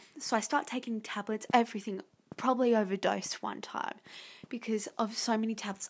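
Speaking at a moderate pace, a woman with an Australian accent has a fairly high, somewhat breathy voice. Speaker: podcast host. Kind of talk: casual monologue. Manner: halting.

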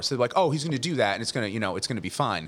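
A man at a medium pitch speaks with vocal fry and very wide pitch swings. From New Jersey (Leonardo, Monmouth County). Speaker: bartender. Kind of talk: casual chat. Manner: halting, many fillers and restarts.

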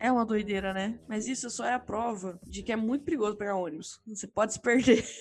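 Speaking at a very fast pace with hardly any pauses, a woman uses a fairly high pitch and ordinary pitch variation. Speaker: podcast host. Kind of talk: casual chat.

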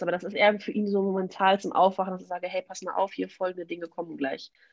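At a very fast pace, a woman speaks at medium pitch in a monotone, flat intonation. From Westphalia, Germany (Münster). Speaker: equestrian vaulting coach. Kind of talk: casual interview.

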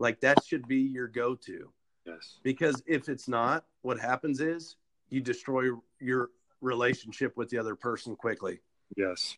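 Recorded dry and close with no echo, a man with an American accent and an ordinary speaking voice talks at a fairly slow pace, medium in pitch with ordinary pitch variation. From Kansas. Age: 30s. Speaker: podcast host. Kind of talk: casual interview.

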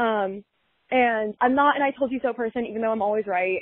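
The pace is fairly quick in an ordinary speaking voice. Pitch varies in an ordinary way. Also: woman. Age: 20s. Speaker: caller. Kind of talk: recorded voice message.

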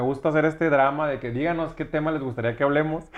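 This man has a fairly high pitch and rushes through his words at a very fast pace. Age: 30s. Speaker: restaurant owner and entrepreneur. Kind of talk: casual chat.

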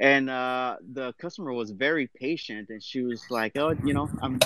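A man with a medium pitch and ordinary pitch variation talks in a normal speaking voice. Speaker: listener joining the show. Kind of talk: personal story. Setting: online live audio room.

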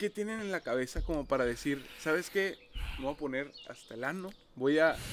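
Using an ordinary speaking voice, a man talks at a moderate pace with a fairly high pitch. His intonation is lively. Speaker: podcast co-host. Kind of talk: casual chat. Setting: outdoors.

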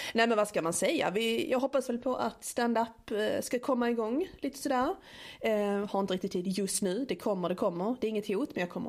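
In a Scanian accent, a woman talks at a fairly quick pace. Her voice is fairly high, with lively intonation. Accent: Scanian Swedish. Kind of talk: casual chat. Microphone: small portable recorder with clip-on mic, more room echo.

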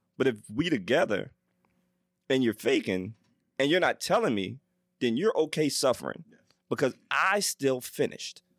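The voice has vocal fry and very wide pitch swings yet very even loudness, moving at a moderate pace with long, frequent pauses in a dry, close sound with no echo. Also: man, medium pitch for a man. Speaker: podcast panelist. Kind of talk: casual chat.

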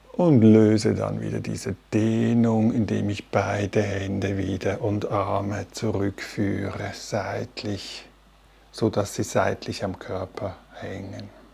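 A man speaks at a very slow pace in a calm, soothing tone. His voice is fairly low in pitch, with fairly even intonation. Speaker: meditation teacher. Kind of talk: guided meditation. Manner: slow, calm and soothing, with long pauses between instructions.

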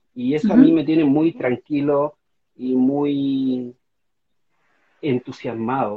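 A man with a fairly high pitch talks very slowly. His intonation stays fairly even, with long, frequent pauses. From Chile. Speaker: constitutional convention candidate and novelist. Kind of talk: interview. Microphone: unreliable home internet connection.

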